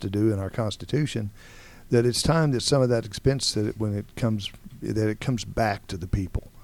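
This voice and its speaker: On a very clean recording with a silent background, a man uses a plain, everyday voice at medium pitch, with ordinary pitch variation and a moderate pace. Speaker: radio host. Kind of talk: interview. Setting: studio.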